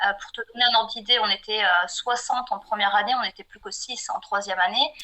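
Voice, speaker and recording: A woman with a fairly high pitch speaks at a fairly quick pace, her pitch varying in an ordinary way and her loudness swinging widely over noticeable background noise. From southwestern France (Pau). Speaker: freelance graphic designer. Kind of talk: podcast interview.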